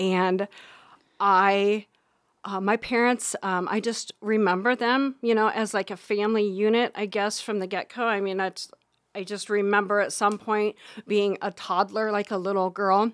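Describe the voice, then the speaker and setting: A woman speaks at medium pitch with a Midwestern US accent, her intonation monotone and flat. The sound is dry and close, with no echo. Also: moderate pace, very clean recording, silent background. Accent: US Midwest. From Iowa, Harlan area. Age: 50s. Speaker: bakery owner and medium. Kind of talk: personal testimony.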